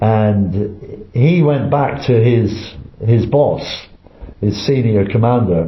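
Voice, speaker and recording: In an English accent, a man speaks very slowly at a medium pitch with ordinary pitch variation and very even loudness, while audible room echo surrounds him. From England. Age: 80s. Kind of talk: interview. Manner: halting, many repetitions.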